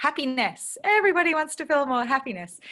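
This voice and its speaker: The tone of this woman's voice is bright and sharp. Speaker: essential oils educator. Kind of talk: online class. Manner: fast.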